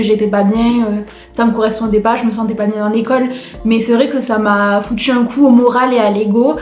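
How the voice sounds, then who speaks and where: Over noticeable background noise and audible room echo, a woman talks fairly quickly at a fairly high pitch in a monotone, flat way. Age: 20s. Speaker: student vlogger. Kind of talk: personal vlog. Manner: hesitant, many fillers.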